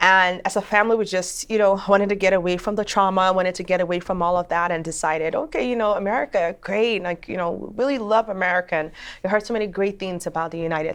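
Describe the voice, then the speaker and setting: Speaking very fast with a Nigerian accent, a woman keeps a medium pitch. Her pitch variation is ordinary. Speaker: attorney and judicial candidate. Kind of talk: interview.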